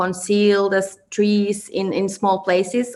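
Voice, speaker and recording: A woman speaks with a Finnish accent. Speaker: fashion designer. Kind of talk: presentation. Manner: halting.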